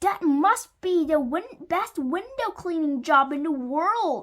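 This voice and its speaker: A woman uses a put-on character voice at an extremely high pitch and a fairly slow pace. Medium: read story. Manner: polite, courteous.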